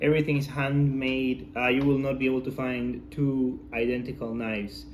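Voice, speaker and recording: A man with a non-native accent speaks at a medium pitch and a moderate pace. His intonation is fairly even, and the room echo is audible. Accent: foreign. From outside the US. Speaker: knife enthusiast. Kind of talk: product review. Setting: filmed by his wife. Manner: hesitant, many fillers.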